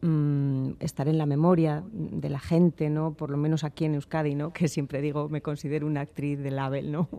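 Over a silent background in a very clean recording, a woman speaks in a very deep, low pitch with a dark, mellow tone and monotone, flat intonation. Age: 60s. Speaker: stage and film actress. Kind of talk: radio interview. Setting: radio studio.

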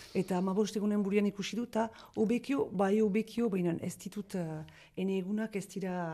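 Her pitch sits at a medium level and her tone is dark and mellow. The woman's intonation is fairly even. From Northern Basque Country, Itsasu. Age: 50s. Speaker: sheep farmer. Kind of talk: interview. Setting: farmhouse. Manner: halting.

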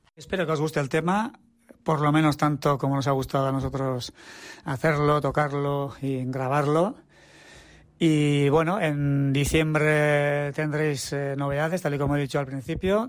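Here is a man with an ordinary speaking voice, pitched fairly high. He talks at a fairly slow pace with fairly even intonation. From Basque Country, Tolosa. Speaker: musician. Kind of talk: recorded statement about a song.

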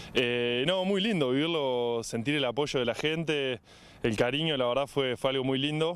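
In a Uruguayan accent, a man of medium pitch speaks at a moderate pace with ordinary pitch variation and very even loudness. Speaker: rugby player. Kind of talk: interview.

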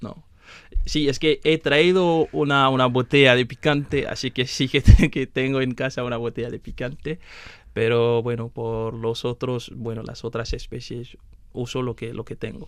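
A man speaks in a plain, everyday voice at medium pitch. His pace is fairly slow and his intonation fairly even. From Benin. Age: 20s. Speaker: master's student. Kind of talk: interview.

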